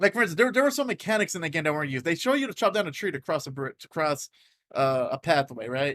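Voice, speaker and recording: Loud and very fast, a man speaks with a high pitch and very wide pitch swings, the sound dry and close with no echo. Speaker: podcast co-host. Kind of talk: casual chat. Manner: halting.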